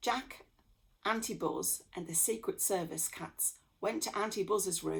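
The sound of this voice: The speaker reads in an unforced reading voice.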